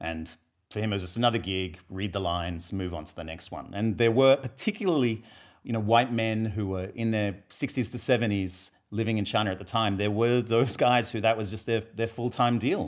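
With an Australian accent, a man talks fairly quickly at a fairly low pitch, with ordinary pitch variation. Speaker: filmmaker and graphic novel author. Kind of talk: casual interview chat.

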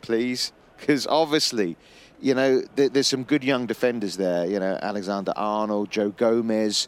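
This man has an ordinary speaking voice at a medium pitch. His pace is moderate, with ordinary pitch variation. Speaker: football pundit. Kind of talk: sports analysis discussion.

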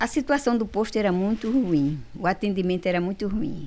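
Speech comes out fairly slowly, edged with vocal fry. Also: woman. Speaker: community health group founder. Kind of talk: interview.

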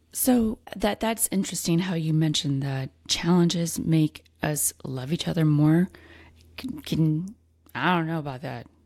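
Fairly low in pitch, a woman with an unremarkable speaking voice and lively intonation speaks at a fairly slow pace on a very clean recording with a silent background. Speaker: podcast host and autoimmune coach. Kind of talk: interview.

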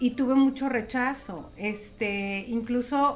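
There is audible room echo around this woman's voice, which moves through an ordinary range of pitch. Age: 40s. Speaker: emotional therapist and aromatherapist. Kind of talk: casual interview.

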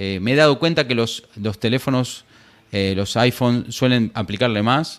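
A man talks at a moderate pace with ordinary pitch variation in a plain, everyday voice, the recording very clean and the background silent. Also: medium pitch for a man. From Argentina. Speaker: tech podcaster. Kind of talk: casual chat.

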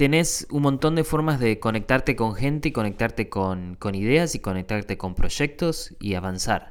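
A man with a Rioplatense accent speaks at a medium pitch and fairly slow pace with lively intonation, on a very clean recording with a silent background. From Argentina. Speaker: podcast host. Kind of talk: casual monologue. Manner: halting, many fillers.

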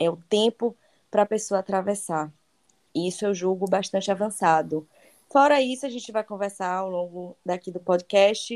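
Recorded very cleanly with a silent background and a dry, close sound with no echo, a woman speaks at a moderate pace and medium pitch with ordinary pitch variation. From Bahia, Brazil. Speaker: travel guide and digital influencer. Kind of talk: interview. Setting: podcast.

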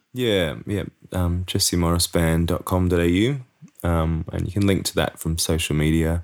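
A man with an Australian accent, a very deep, low pitch, ordinary pitch variation, and a moderate pace. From Sydney, Australia. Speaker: musician and bandleader. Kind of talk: interview. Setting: at home.

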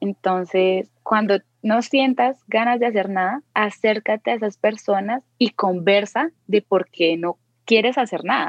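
Here a woman at medium pitch has an ordinary speaking voice with ordinary pitch variation. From Colombia. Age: 20s. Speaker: tattoo artist. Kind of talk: interview chat.

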